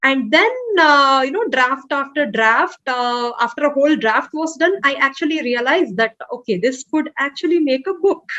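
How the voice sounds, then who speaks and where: With a Telugu accent, this speaker talks at a moderate pace with lively intonation. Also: woman, high pitch for a woman. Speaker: author. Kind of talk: interview. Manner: hesitant, many fillers.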